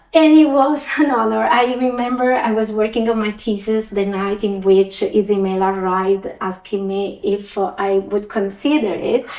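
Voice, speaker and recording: Fairly high-pitched woman with an Italian accent, hardly any pauses, and noticeable background noise. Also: ordinary pitch variation, moderate pace. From Italy. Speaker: finance executive. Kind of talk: interview.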